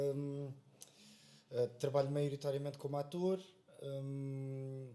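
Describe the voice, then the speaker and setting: This man speaks very slowly in a fairly high pitch, leaving long, frequent pauses. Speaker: actor. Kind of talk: casual podcast conversation. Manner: halting, many filler sounds.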